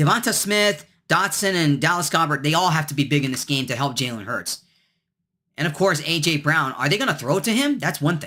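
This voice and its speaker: Speaking at a moderate pace, a man with a fairly high pitch has a bright, sharp tone and lively intonation. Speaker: sports picks video host. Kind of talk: solo sports commentary video. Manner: halting, stumbles over words; casual, conversational.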